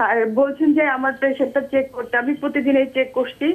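A woman speaks in a high voice. Her intonation stays fairly even. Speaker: caller. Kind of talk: call-in question. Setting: phone call.

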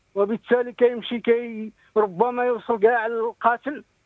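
A man talks at an extremely high pitch and a fairly slow pace, with monotone, flat intonation. The sound is dry with no echo, and the background is quiet. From Morocco. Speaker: caller. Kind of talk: phone-in story. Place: home room.

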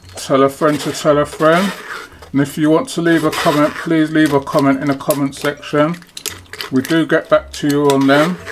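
Background noise is noticeable. The pace stays moderate. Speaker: home cook host. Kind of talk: cooking tutorial. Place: kitchen.

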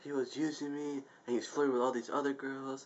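A man speaks at a moderate pace. His voice is fairly high. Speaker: YouTube vlogger. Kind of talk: angry venting rant to camera. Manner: exasperated, profane outbursts, repeating 'I told you'; rambling, self-interrupting, casual filler-heavy. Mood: exasperated ranting. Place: home room. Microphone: webcam.

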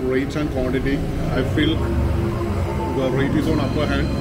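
A man's voice with clear music in the background. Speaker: food vlogger. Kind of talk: casual vlog chat. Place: cafe.

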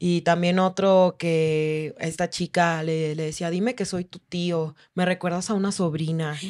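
A woman talks at a fairly slow pace and a fairly low pitch. Her intonation is monotone and flat. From Oaxaca, Mexico. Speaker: stripper and sex worker rights activist. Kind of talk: interview storytelling.

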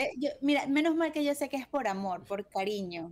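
A woman's lively intonation at a moderate pace. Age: 30s. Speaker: radio co-host; radio program host. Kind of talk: casual chat; news reading. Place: home room.

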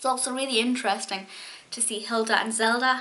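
A woman's fairly high voice at a fairly quick pace. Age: 20s. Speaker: YouTube TV show reviewer. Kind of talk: solo video review monologue. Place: home room. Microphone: webcam.

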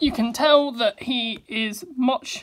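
This woman's voice shows ordinary pitch variation. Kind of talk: casual showcase commentary. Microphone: phone near.

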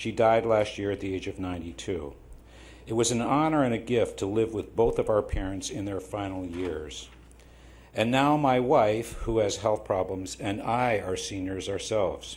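A man speaks at a moderate pace in a fairly low, somewhat breathy voice with ordinary pitch variation. Audible room echo surrounds the recording. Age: 70s. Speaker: public commenter at city council. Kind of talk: public comment speech. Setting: city council meeting. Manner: halting, with fillers.

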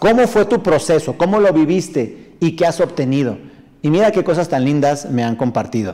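A man talks at a moderate pace in an animated tone, his intonation lively against a quiet background. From northern Mexico. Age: 40s. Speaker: motivational speaker and sales trainer; motivational speaker, sales trainer. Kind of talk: live stream talk reading viewer comments. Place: studio.

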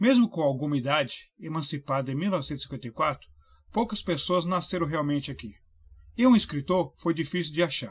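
On a very clean recording with a silent background, an unremarkable speaking voice talks at a moderate pace. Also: man, fairly high pitch for a man. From Brazil, São Paulo state (Mauá). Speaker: book reviewer. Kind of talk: scripted book review.

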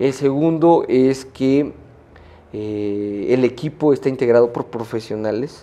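Here a man talks in a dark, mellow tone at a medium pitch. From Mexico, Puebla. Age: young. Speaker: media entrepreneur and lawyer; lawyer. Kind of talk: interview. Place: studio. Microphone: lapel.

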